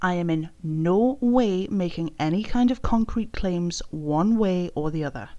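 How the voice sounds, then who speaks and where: In a British accent, a woman with a dark, mellow tone talks at a fairly slow pace with hardly any pauses. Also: medium pitch for a woman, lively intonation. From Britain. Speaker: YouTube commentary creator. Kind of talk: commentary video.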